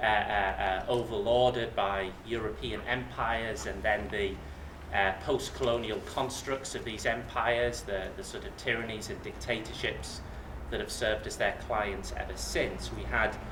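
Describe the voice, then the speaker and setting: Speaking at a moderate pace with a slight Yorkshire accent, a man is heard with audible room echo and noticeable background noise. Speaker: academic speaker. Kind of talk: lecture. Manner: halting, many fillers and repetitions.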